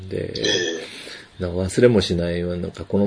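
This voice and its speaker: A man talks quietly with monotone, flat intonation. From Japan. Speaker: podcast host. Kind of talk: casual chat. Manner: speaking quietly.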